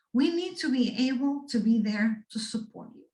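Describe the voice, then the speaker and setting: A woman with a Spanish accent, high-pitched, with lively intonation. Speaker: guest speaker on resilience, doctoral student. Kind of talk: talk to students. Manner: animated.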